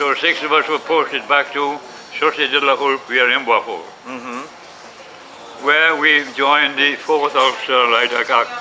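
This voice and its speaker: A man's fairly high voice, fairly even in intonation and fairly slow, broken by long, frequent pauses over noticeable background noise. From Wales. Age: 80s+. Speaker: war veteran. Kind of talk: interview answer.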